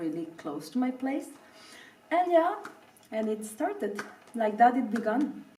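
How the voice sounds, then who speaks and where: Someone with a Spanish accent speaks in a space with audible room echo. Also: woman. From Venezuela (Caracas). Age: 30s. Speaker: professional ballet dancer. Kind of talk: interview. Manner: hesitant, with fillers.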